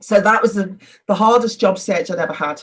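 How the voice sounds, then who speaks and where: A somewhat breathy woman with a Liverpool accent at a fairly quick pace. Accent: Liverpool (Scouse). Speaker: business executive. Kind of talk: interview. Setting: video call.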